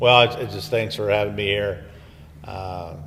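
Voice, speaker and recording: Amid noticeable background noise and audible room echo, a man with a Midwestern US accent speaks at a moderate pace with a very deep, low pitch. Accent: US Midwest. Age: 60s. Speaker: retired school superintendent. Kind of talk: casual chat. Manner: halting, many fillers.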